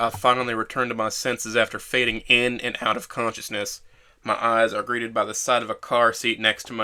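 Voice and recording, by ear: A passage read aloud in a natural voice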